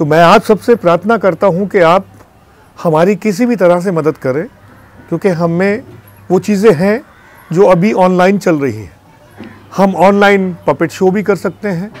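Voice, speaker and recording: Pitched high, a man speaks fairly slowly with long, frequent pauses, in a dry sound with no echo and music in the background. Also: ordinary pitch variation. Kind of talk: interview appeal. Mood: earnest pleading request. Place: studio.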